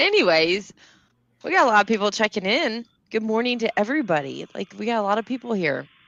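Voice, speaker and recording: A woman with a slight Southern US accent, fairly high pitch, vocal fry, lively intonation and a very fast pace. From borderline US South, not Kentucky. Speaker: business webinar host. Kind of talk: casual chat.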